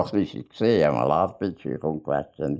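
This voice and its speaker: With a Bernese accent and vocal fry, a man speaks in a very deep, low pitch at a moderate pace, with ordinary pitch variation over a quiet background. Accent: Bernese Swiss German. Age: 80s+. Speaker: author and painter. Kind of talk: casual chat. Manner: halting.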